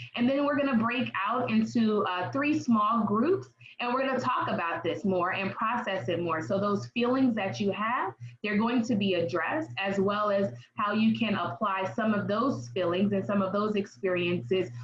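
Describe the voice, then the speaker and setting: Against noticeable background noise, a woman speaks in an animated tone with very wide pitch swings. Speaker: therapist presenting a parent workshop. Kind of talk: online workshop presentation.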